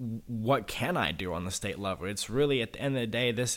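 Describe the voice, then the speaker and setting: At a fairly quick pace with ordinary pitch variation, this is a plain, everyday voice. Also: man. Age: 20s. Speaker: state politician. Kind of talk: interview.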